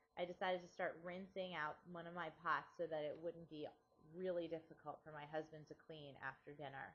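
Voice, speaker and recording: A woman speaks at a fairly quick pace in a fairly low pitch, her intonation flat and monotone while her loudness swings widely. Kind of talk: personal digital story narration.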